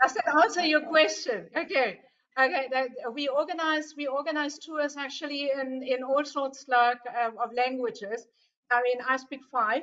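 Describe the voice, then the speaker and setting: Speaking with a German accent at a moderate pace, a woman has a high pitch and ordinary pitch variation. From Germany. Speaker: tour operator representative. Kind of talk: webinar Q&A. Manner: casual, lively.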